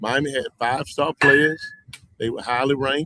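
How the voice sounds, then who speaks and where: Medium-pitched man at a moderate pace, animated tone, in a dry, close sound with no echo. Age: 60s. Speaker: sports radio co-host. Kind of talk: casual chat.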